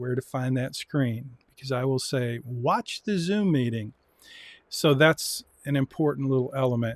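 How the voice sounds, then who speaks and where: An unremarkable speaking voice from a man at medium pitch, with ordinary pitch variation, a fairly slow pace and a dry, close sound with no echo. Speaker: university lecturer in personal finance. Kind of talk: lecture. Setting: live-streamed Zoom class.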